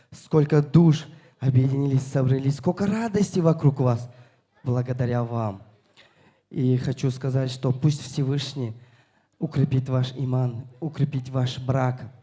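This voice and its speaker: The voice has a dark, mellow tone, somewhat breathy, with ordinary pitch variation. It moves at a very slow pace with long, frequent pauses. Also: man, medium pitch for a man. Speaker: wedding guest giving a toast. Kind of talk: wedding toast. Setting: wedding hall with guests.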